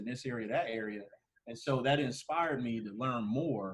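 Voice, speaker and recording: A man with an American accent and a plain, everyday voice, medium in pitch, at a moderate pace. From Ohio, Canton. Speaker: urban planner. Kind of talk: podcast interview.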